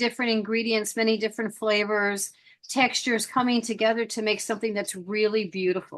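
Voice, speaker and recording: A woman speaks in an ordinary speaking voice, fairly high-pitched, at a fairly quick pace with fairly even intonation. The background is quiet. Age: 60s. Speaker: podcast host. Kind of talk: casual chat.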